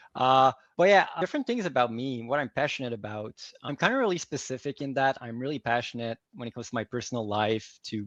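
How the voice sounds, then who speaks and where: A man's medium-pitched, fairly quick speech with a Quebec accent, over a quiet background. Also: dry, close sound with no echo. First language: French. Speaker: organizational psychology advisor. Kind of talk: fireside chat interview.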